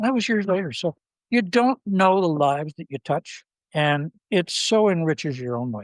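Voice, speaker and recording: A man's high-pitched voice with very wide pitch swings at a moderate pace, dry and close with no echo. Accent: Canadian. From Ontario, Canada. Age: 70s. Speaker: philanthropist. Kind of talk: interview.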